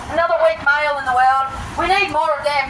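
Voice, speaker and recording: Loud and high-pitched, a woman speaks at a moderate pace amid noticeable background noise and audible room echo. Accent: Australian. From Australia. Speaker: protester. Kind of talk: street protest confrontation. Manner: animated.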